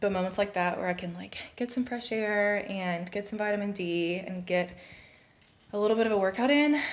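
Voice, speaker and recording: A woman's normal speaking voice at medium pitch, with ordinary pitch variation and a moderate pace. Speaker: fitness trainer and mom vlogger. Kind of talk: casual vlog narration. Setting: at home.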